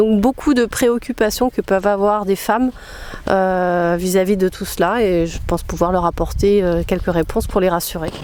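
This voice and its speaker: Woman at a medium pitch, moderate pace, ordinary pitch variation. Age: 50s. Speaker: naturism ambassador for women. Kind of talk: interview testimony. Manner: hesitant, many fillers.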